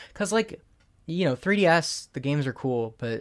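In a very clean recording with a silent background, a man speaks at a moderate pace with very wide pitch swings. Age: 20s. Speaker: podcast co-host. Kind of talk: casual chat.

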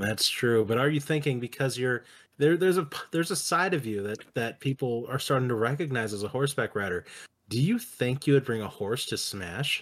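A man talks in an ordinary speaking voice, medium in pitch, at a fairly quick pace with lively intonation. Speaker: podcast host interviewer. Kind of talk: comedic interview, casual banter. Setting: video call, recording from friend's house.

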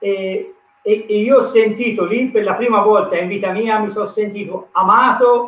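The voice belongs to a man. It sits at a high pitch. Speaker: church volunteer. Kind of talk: testimony. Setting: live video stream. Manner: preacher-like.

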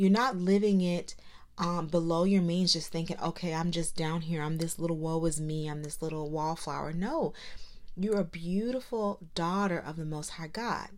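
There is audible room echo as a woman with a warm tone and a fairly low pitch speaks at a moderate pace. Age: 30s. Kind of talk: encouraging monologue. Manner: warm, conversational.

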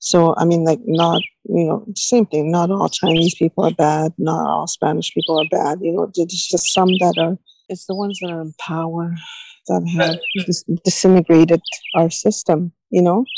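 A woman with an unremarkable speaking voice talks at a moderate pace in a fairly low pitch with fairly even intonation. The sound is dry and close, with no echo. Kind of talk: recorded interview.

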